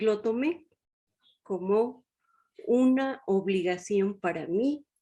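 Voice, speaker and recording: A woman speaks at a very slow pace with a fairly high pitch. Her tone is dark and mellow, with ordinary pitch variation. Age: 70s. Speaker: retired chemical engineer and teacher. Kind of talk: interview.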